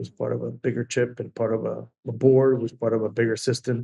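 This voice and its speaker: A man with a Peruvian accent talks at a fairly quick pace in a medium pitch with monotone, flat intonation. His tone is dark and mellow, the sound dry and close with no echo. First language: Spanish. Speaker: venture capital investor. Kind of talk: interview. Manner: halting.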